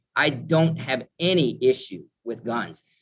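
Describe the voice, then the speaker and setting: This man speaks with an Upper Midwest accent. His intonation is lively. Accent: Upper Midwest American. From Minnesota, northern suburb of Minneapolis. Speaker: mental health nonprofit director. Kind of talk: interview.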